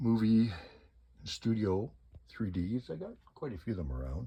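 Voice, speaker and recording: At a fairly slow pace, the speaker's voice comes out somewhat breathy. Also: man. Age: 60s. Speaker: collector. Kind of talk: casual video tour of collection. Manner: casual, halting.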